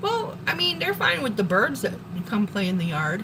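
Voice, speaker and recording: Over noticeable background noise and audible room echo, a woman with an American accent speaks at a fairly low pitch. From Wisconsin. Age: 40s. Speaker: live streamer. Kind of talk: casual live stream chat. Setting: home kitchen.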